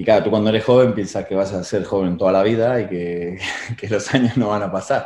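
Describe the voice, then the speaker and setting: With audible room echo, a man talks fairly quickly in a dark, mellow, fairly low voice with fairly even intonation. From Argentina, Buenos Aires. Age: 40s. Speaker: rowing coach and former Olympic rower. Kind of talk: interview.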